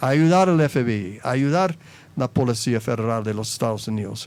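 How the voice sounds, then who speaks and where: A man is speaking with an American accent. His pace is moderate. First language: English (speaking Spanish). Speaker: former anti-drug agency director. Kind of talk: panel interview. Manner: halting, with self-corrections.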